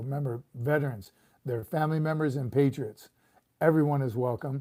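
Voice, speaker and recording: A man with an American accent speaks in a dark, mellow tone at a fairly high pitch. The recording is very clean, with a silent background. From California. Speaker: retired Marine sergeant major, livestream host. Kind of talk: casual livestream chat.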